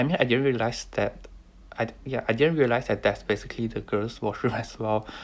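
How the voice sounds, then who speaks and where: This man is soft-spoken. He moves at a fairly quick pace. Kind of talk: casual talk to camera.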